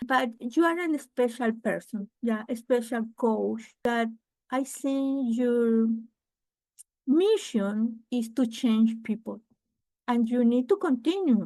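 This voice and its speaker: Very slowly, a woman with a Spanish accent speaks in a high pitch and a dark, mellow tone, with ordinary pitch variation. Her pauses are long and frequent. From Venezuela. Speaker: real estate investor. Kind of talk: interview. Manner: halting.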